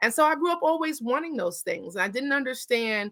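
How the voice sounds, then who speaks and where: With a New York accent, a woman sounds animated, bright and sharp, her pitch swinging very widely. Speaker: therapist. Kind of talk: interview. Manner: fast.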